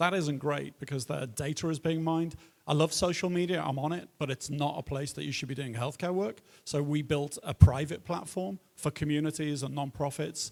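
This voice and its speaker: A man speaks at a fairly high pitch in a Liverpool accent, with ordinary pitch variation and a moderate pace. The recording is very clean, with a silent background. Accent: British, Liverpool. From northern England, Liverpool. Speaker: tech entrepreneur, panelist. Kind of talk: panel discussion introduction.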